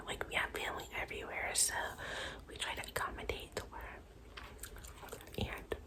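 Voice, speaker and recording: Moderate-paced whispering from a woman amid noticeable background noise. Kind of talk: casual talk to camera. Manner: whispered.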